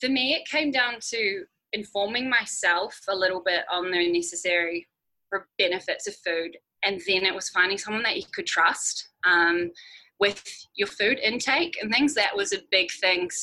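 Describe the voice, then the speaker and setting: Bright, sharp tone in a New Zealand accent, with lively intonation at a moderate pace. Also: woman, medium pitch for a woman. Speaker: amateur cyclist and project manager. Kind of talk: podcast interview.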